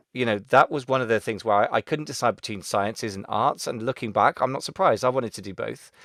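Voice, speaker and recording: With a Gloucester accent, a man talks at a very fast pace with hardly any pauses, medium pitch, ordinary pitch variation and big swings in loudness, on a very clean recording with a silent background and a dry, close sound with no echo. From Gloucester, west of England. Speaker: Amazon seller consultant and podcaster. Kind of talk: interview. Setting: podcast interview.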